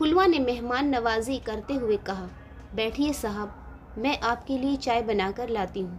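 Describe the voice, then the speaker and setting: A woman with a fairly high pitch has an unremarkable speaking voice. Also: ordinary pitch variation. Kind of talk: moral story narration.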